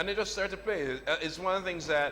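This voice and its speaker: Recorded with audible room echo and noticeable background noise, a man speaks at a high pitch. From Jamaica. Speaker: novelist. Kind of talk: on-stage interview conversation.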